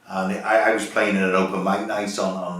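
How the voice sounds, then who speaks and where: This man has a Liverpool accent and a very deep, low pitch, delivered in a flat monotone. Audible room echo and noticeable background noise are present. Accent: Liverpool (Scouse). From northern England, north Liverpool. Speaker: drummer. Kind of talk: interview. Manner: halting, repeats words.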